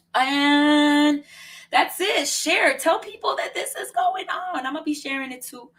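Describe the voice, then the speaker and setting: In a very clean recording with a silent background, a woman speaks at a high pitch in an animated tone with big swings in loudness. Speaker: poet hosting an open mic. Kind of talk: casual live-stream hosting. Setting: virtual studio live stream. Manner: fast.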